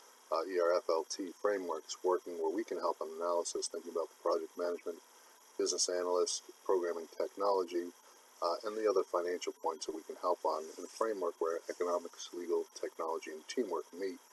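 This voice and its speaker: Recorded with a dry, close sound and no echo, a man talks at a very fast pace with big swings in loudness. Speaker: CPA consultant. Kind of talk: unscripted business presentation. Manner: flat monotone.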